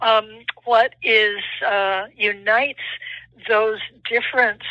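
A woman's bright, sharp voice, fairly high in pitch, very slow in pace, with ordinary pitch variation. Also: dry, close sound with no echo. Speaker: professor. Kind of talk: interview. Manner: measured explanatory.

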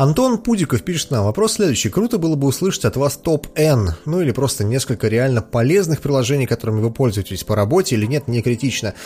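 Somewhat breathy and dark, mellow in tone, a man with a medium pitch talks at a very fast pace with very wide pitch swings, very even loudness and hardly any pauses. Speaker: podcast host. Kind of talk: casual chat, Q&A. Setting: studio, streamed live with video. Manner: informal, joking.

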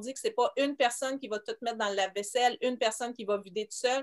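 In a plain, everyday voice, a woman speaks at a fairly quick pace with a fairly high pitch and ordinary pitch variation. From Quebec, Montreal. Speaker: homeschooling mother and teacher. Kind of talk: interview.

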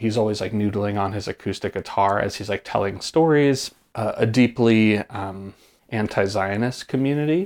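An ordinary speaking voice with an American accent moves at a moderate pace with ordinary pitch variation, on a very clean recording with a silent background. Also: man, fairly low pitch for a man. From Hudson Valley, upstate New York. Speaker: performance artist. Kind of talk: casual chat. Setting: host's home.

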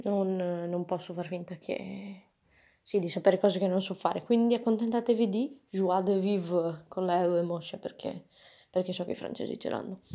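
A woman with a dark, mellow tone and medium pitch speaks at a moderate pace with fairly even intonation. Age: 20s. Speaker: podcaster. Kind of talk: casual monologue. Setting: at home. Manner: chatty, informal.

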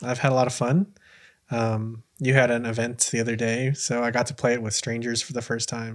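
A man's unremarkable speaking voice at medium pitch, moderate pace, and fairly even intonation, on a very clean recording with a silent background. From US, Filipino American. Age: 20s. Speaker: podcast host, coffee seller. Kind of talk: casual interview chat.

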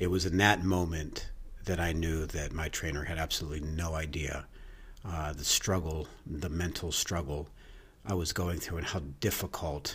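A man speaks with a very deep, low pitch. His pace is fairly slow and his intonation fairly even. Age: 50s. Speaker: personal fitness trainer and bodybuilder. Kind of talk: podcast monologue. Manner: casual, with fillers and false starts.

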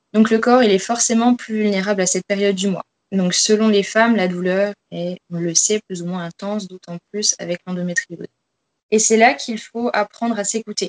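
Her sound dry and close with no echo, a woman with an ordinary speaking voice talks at a moderate pace and medium pitch with fairly even intonation. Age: 20s. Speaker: fitness coach. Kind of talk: interview.

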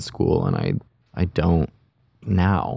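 This man has a very deep, low voice with vocal fry. His intonation is fairly even and his tone dark and mellow. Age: 20s. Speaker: production designer and director. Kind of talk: casual interview. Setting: in-person studio.

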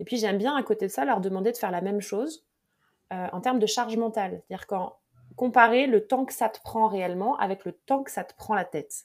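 In a normal speaking voice, a woman talks at a fairly quick pace and a fairly high pitch, with ordinary pitch variation and big swings in loudness, on a very clean recording with a silent background. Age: 40s. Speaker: mental performance coach. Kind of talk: interview.

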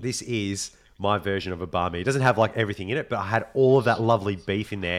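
With an Australian accent, a man talks at a very fast pace in a fairly low voice with ordinary pitch variation. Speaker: podcast host. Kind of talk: casual chat.

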